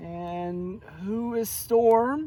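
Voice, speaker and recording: Soft-spoken, a man performs a put-on character voice at a high pitch. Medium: read story. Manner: drowsy, murmuring.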